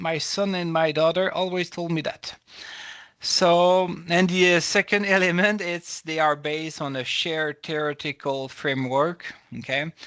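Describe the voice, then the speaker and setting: Against a quiet background, a man with a French accent speaks in a high pitch with fairly even intonation. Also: moderate pace. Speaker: professor. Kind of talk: lecture. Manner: halting.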